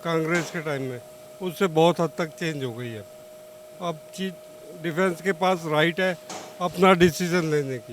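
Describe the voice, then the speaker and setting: The speech has long, frequent pauses and big swings in loudness, with ordinary pitch variation. Noticeable background noise can be heard. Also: man. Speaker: ex-air force serviceman, voter in street interview. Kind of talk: street vox pop interview. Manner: halting.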